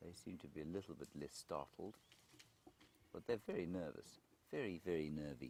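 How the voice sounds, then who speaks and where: A quiet man's very deep, low voice with a dark, mellow tone and vocal fry, ordinary pitch variation, a moderate pace and long, frequent pauses. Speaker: safari guide. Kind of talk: live commentary. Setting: outdoors.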